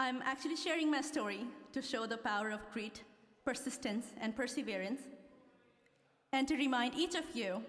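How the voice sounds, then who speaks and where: A woman with a Nepali accent talks at a moderate pace with ordinary pitch variation, over noticeable background noise and audible room echo. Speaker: law graduate. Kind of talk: commencement speech. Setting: stage with audience.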